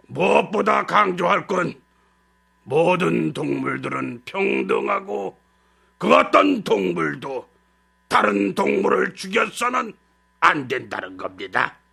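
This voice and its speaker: A raspy, put-on character voice from a man, solemn in tone, at a fairly slow pace with long, frequent pauses. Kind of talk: oratorical speech. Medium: audio drama. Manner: solemn, old-fashioned formal speech.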